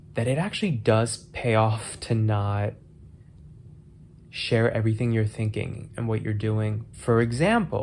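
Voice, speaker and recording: At a fairly slow pace, a man speaks with a medium pitch and fairly even intonation, sounding somewhat breathy. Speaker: YouTuber, commentary vlogger. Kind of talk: casual monologue. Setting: hotel room, in bed.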